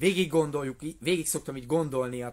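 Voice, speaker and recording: Lively intonation runs through this man's speech. His pitch is fairly high. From Hungary. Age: 40s. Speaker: martial arts instructor. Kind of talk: live video monologue. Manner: casual. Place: tent. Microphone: phone near.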